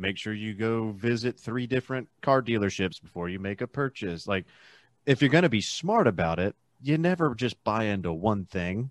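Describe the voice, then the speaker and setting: A man with an unremarkable speaking voice talks at a fairly low pitch and moderate pace, with lively intonation. The sound is dry and close, with no echo. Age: 30s. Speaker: podcaster. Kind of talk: casual chat. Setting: video call.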